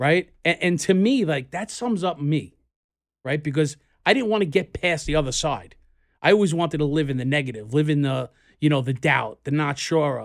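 Lively intonation marks a man's fairly high voice, delivered at a moderate pace. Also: very clean recording, silent background. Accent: New York. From US Northeast, New York City (Queens). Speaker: podcast co-host, entrepreneur. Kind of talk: casual chat. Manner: halting.

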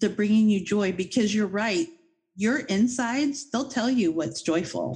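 Her intonation is lively and her voice somewhat breathy. The woman keeps a fairly slow pace at a very even loudness. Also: fairly high pitch for a woman. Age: 50s. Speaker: podcast host. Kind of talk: casual interview chat.

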